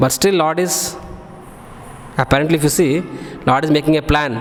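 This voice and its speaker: Someone with an Indian accent talks at a fairly quick pace over noticeable background noise. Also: man. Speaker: monk giving scripture class. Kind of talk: religious lecture. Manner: fast; loud.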